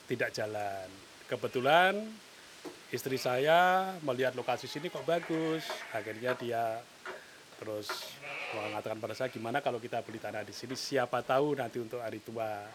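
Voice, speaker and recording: Speech at a moderate pace with ordinary pitch variation comes through noticeable background noise. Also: man, medium pitch for a man. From Central Java, Muntilan (Magelang). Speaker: goat and sheep farmer. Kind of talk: interview. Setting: on a farm.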